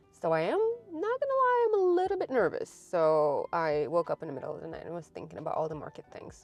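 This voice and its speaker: Over music in the background, a woman speaks at a fairly quick pace with lively intonation. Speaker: craft market vlogger. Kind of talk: casual vlog.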